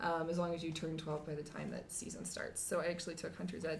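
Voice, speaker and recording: In an American accent, a woman talks with a very deep, low pitch. Her intonation is monotone and flat, and the room echo is audible. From Montana. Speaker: podcast guest. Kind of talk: casual chat.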